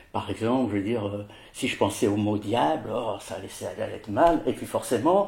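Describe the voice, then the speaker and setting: This man speaks at a moderate pace in a medium pitch, his voice somewhat breathy and his intonation lively. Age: 60s. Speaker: president of a patient association for OCD. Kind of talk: interview testimony. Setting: at his home. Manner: halting, many hesitations.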